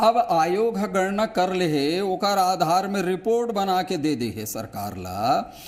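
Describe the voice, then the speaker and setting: A man's high-pitched voice with hardly any pauses. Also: ordinary pitch variation. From Chhattisgarh, Mahasamund district (Odisha border). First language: Laria (half Chhattisgarhi, half Odia) (speaking Hindi). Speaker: political panelist. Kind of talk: TV debate.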